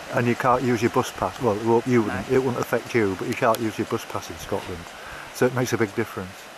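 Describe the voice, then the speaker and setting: With a Yorkshire accent, a man speaks at a very fast pace with fairly even intonation, the sound dry with no echo amid noticeable background noise. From northern England (Hull). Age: 70s. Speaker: long-distance coastal walker and vlogger. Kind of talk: casual vlog chat. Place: open country. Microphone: phone near.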